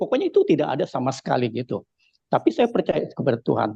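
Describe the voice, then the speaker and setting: Vocal fry marks this man's voice. He speaks at a very fast pace. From Indonesia, Jakarta (Chinese-Betawi). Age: 70s. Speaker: church testimony giver. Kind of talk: testimony. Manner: halting, many fillers.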